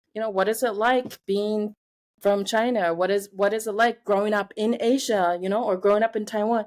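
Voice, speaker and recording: A woman with an American accent speaks at a moderate pace in a fairly high voice. Her intonation is flat and monotone, in a very clean recording over a silent background. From Indiana, US Midwest. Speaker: artist and educator. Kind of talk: interview conversation. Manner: halting, many fillers.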